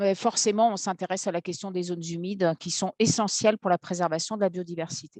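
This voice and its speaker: With a dry, close sound and no echo, a woman of medium pitch speaks at a fairly quick pace with fairly even intonation and hardly any pauses. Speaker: law academic, environmental and urban planning law. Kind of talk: seminar lecture via interpreter. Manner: fast.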